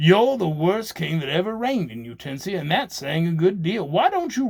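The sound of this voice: Lively intonation over an unforced reading voice.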